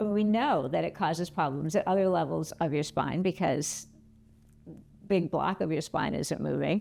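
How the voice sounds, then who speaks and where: A woman at a moderate pace, very even in loudness, with music in the background. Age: 60s. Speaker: orthopedic surgeon and movement teacher. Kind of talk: interview monologue.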